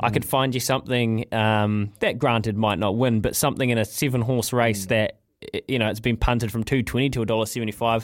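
With a New Zealand accent, a man speaks at a medium pitch and a fairly quick pace with fairly even intonation and very even loudness, in a very clean recording with a silent background. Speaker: sports radio co-host and racing tipster. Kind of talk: breakfast radio show.

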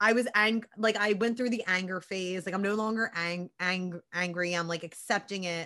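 An animated woman at a medium pitch and moderate pace, with a Philadelphia accent, over a quiet background. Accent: Philadelphia American. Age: 30s. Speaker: podcast co-host, sports broadcaster. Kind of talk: casual chat.

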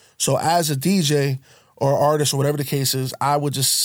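In a very clean recording with a silent background, a man with an American accent uses an ordinary speaking voice at medium pitch. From Connecticut. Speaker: DJ. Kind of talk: casual chat.

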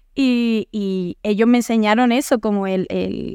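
A fairly high-pitched woman with fairly even intonation, in a dry, close sound with no echo and a very clean recording with a silent background. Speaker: singer. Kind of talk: casual chat.

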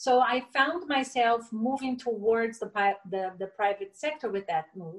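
Speaking at a fairly slow pace with a Portuguese accent, a woman uses lively intonation in a fairly high voice. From Brazil, raised in Brasilia. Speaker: entrepreneur, former corporate executive. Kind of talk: interview conversation.

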